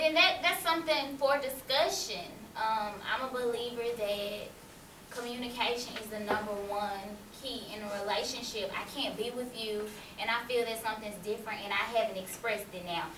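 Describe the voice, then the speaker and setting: A woman talks at a moderate pace against noticeable background noise. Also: fairly high pitch for a woman, ordinary pitch variation. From US South. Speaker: college student; panelist. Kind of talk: panel discussion. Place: classroom. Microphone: camera far.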